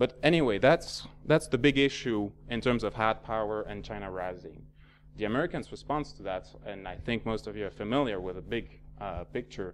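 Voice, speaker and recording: Fairly low in pitch, a man speaks with vocal fry, ordinary pitch variation and big swings in loudness. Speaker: security researcher, panel speaker. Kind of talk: seminar presentation. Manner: fast; halting, many fillers.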